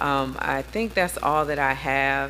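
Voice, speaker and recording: There is audible room echo as a woman speaks with an American accent. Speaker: city council member. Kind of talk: council meeting remarks.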